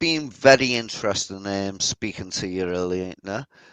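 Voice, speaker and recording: A man with a Liverpool accent at a fairly slow pace, dry and close with no echo. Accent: Scouse. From northern England, Liverpool. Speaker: skeptic co-panelist. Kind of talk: casual chat.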